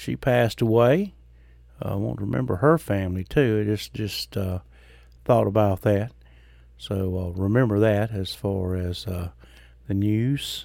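A man speaks at a fairly slow pace in a Mississippi accent, with a fairly low pitch, a dark, mellow tone and lively intonation. Long, frequent pauses break up his speech on a very clean recording with a silent background. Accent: Southern US (Mississippi). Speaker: podcast host and Baptist preacher. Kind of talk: casual monologue. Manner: folksy, halting with fillers.

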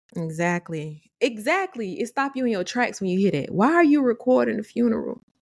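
A woman's fairly high voice, fairly quick with hardly any pauses, with very wide pitch swings. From Atlanta, Georgia. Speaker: podcast co-host. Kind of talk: casual chat.

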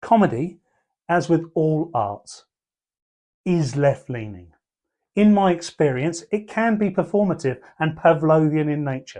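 Over a quiet background, a man in a southern English accent speaks at a fairly slow pace with long, frequent pauses, lively intonation, a fairly high pitch and a dark, mellow tone. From southern England (Portsmouth area). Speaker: comedian and columnist. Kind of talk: reading aloud of his own column.

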